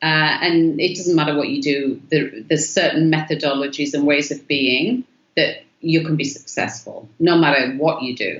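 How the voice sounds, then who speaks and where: With an English accent, a woman speaks at a very deep, low pitch, using ordinary pitch variation. She leaves hardly any pauses. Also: moderate pace. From England. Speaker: artist. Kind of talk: interview.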